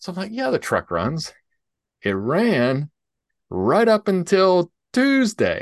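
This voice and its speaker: A man in a Southern US accent speaks at a very slow pace with long, frequent pauses, recorded in a dry, close sound with no echo. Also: quiet background. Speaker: podcast co-host, IT entrepreneur. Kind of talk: casual chat.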